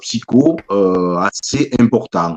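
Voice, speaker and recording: With lively intonation, a man talks in a dry, close sound that has no echo. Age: 60s. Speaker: author. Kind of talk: interview. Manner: halting, many repetitions.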